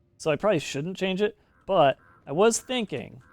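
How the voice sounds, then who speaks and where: Over music in the background, a man with a high pitch speaks with lively intonation in a dry, close sound with no echo. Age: 40s. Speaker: video game streamer. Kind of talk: casual live-stream commentary. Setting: live stream. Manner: casual, rambling with fillers.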